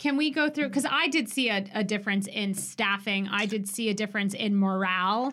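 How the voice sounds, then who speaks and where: A normal speaking voice moves at a fairly quick pace with hardly any pauses, very even loudness and ordinary pitch variation. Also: woman, medium pitch for a woman. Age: late 30s. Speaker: flight attendant and podcast co-host. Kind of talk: casual chat. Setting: studio.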